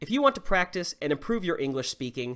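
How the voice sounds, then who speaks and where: On a very clean recording with a silent background, a man speaks in a high voice with a slight Southern US accent. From US South. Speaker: English teacher. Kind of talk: tutorial. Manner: clear, instructional.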